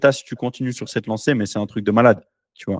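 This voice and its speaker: A man is heard in a dry, close sound with no echo. The recording is very clean, with a silent background. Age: 20s. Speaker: entrepreneur podcast host. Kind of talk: casual chat. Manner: animated.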